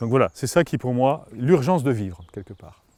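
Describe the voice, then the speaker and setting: A man talks at a moderate pace and medium pitch. His intonation is lively. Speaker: opera singer and former forester. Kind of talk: interview storytelling. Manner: halting, many repetitions.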